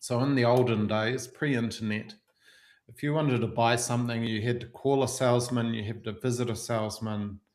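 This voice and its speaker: Speaking fairly quickly in a flat monotone, a man with a New Zealand accent is heard over audible room echo. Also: medium pitch for a man. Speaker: marketing software agency owner. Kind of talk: webinar presentation.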